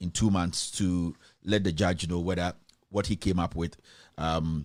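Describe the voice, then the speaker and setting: A man speaks at a moderate pace in a very deep, low voice with fairly even intonation, on a very clean recording with a silent background. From Ghana. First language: not English. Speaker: online news show host. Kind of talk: live stream news commentary. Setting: live stream. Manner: hesitant, many fillers.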